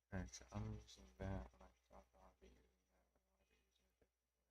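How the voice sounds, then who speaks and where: A man mumbles in a put-on character voice, very deep and low. He talks very fast, with big swings in loudness. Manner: mumbling to himself.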